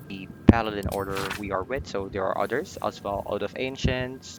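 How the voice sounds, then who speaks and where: With music in the background, a man with a non-native accent speaks with fairly even intonation. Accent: non-native English speaker. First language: not English. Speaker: video game player. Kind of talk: casual gameplay commentary. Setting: home recording, poor mic.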